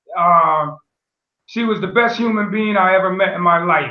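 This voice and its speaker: With an American accent, a man talks at a moderate pace, with audible room echo and a quiet background. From US Northeast (Pennsylvania/Connecticut). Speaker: teacher and coach; interview guest, educator, coach. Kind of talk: interview. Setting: video call. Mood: warm, reflective. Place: home room. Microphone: video call.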